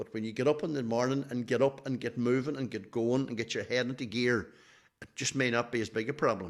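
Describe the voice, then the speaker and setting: At a very fast pace, a man with a Donegal accent talks at a medium pitch with fairly even intonation. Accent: Donegal Irish. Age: 70s. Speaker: athletics team manager. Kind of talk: podcast interview.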